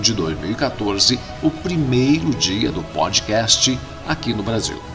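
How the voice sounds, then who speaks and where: Music plays in the background while a man speaks. He talks at a fairly slow pace with very wide pitch swings. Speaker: radio announcer, voice-over artist. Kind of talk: podcast narration.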